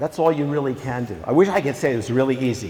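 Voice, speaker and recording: A loud, very fast man's voice at medium pitch, full of very wide pitch swings. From Virginia, US South. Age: old. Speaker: documentary filmmaker. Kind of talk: school talk to students.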